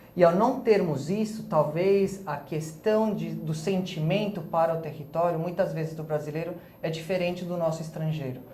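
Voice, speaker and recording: Room echo is audible as the speaker talks at a moderate pace with hardly any pauses and ordinary pitch variation. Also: man, high pitch for a man. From Spanish-speaking country. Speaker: architecture professor. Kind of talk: interview.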